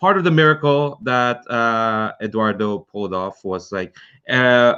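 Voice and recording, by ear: Speaking at a fairly slow pace, a man uses a medium pitch with ordinary pitch variation and a bright, sharp, clear, smooth tone.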